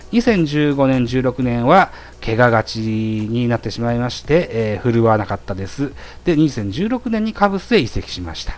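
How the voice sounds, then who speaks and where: A man speaks at a medium pitch. His pace is moderate and his intonation lively. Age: 40s. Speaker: baseball podcast host. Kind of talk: solo monologue presenting prepared notes. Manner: frequent filler hesitations.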